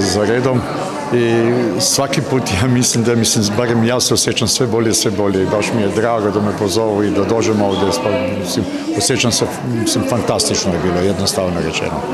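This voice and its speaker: A man speaks at a fairly quick pace while loud background noise fills the recording. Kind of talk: interview answer. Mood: warm, pleased, lightly joking. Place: hall. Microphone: handheld.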